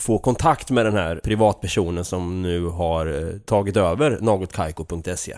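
On a very clean recording with a silent background, the speaker has a strong Östergötland accent. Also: man. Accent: broad Östergötland dialect. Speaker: podcast host. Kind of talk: casual chat.

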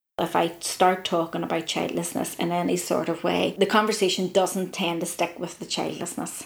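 Speaking fairly quickly in a Northern Irish accent, a woman uses a fairly low pitch with monotone, flat intonation. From Ireland. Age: 40s. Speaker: reproductive health worker. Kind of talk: interview.

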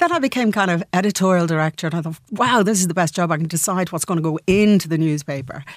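With a Dublin accent and a fairly low pitch, a woman speaks at a very fast pace with hardly any pauses and ordinary pitch variation, on a very clean recording with a silent background. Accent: Irish (Dublin). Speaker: businesswoman and entrepreneur. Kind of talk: radio interview.

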